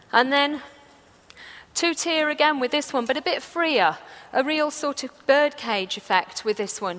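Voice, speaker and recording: With lively intonation and an enthusiastic tone, a woman speaks at a high pitch. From England. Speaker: floral designer. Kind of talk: live demonstration talk to audience. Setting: stage, live audience. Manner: enthusiastic, chatty.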